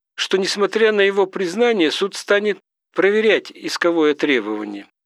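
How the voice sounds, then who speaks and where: A man with a high pitch speaks in a serious tone, recorded with a dry, close sound and no echo. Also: very even loudness. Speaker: audiobook narrator reading legal text. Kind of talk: literary audiobook reading of a scholarly legal treatise, measured and lecture-like. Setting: studio. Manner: formal, measured, even-paced, didactic; rhetorical questions read with a questioning lift; serious, dry academic tone with little emotion.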